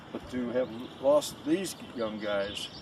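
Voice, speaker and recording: A man with an American accent. There is noticeable background noise. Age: 80s+. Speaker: war veteran. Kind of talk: testimony. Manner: halting.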